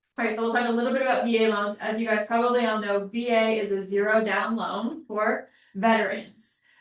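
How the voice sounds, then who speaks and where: A woman speaks at a moderate pace in a plain, everyday voice, her pitch fairly high. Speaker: mortgage lender presenting to real estate agents. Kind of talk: training class presentation.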